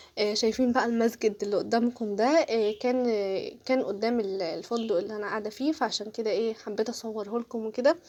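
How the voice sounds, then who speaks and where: With hardly any pauses, a woman talks in a dark, mellow tone at a fairly high pitch and with ordinary pitch variation. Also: moderate pace. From Egypt. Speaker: travel vlogger. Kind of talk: casual travel vlog narration. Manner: chatty, hesitant fillers.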